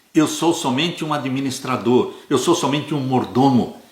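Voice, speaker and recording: A man speaks in a somewhat breathy voice. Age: 70s. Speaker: Adventist Bible teacher. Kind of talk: Bible study lesson. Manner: earnest, exhortative.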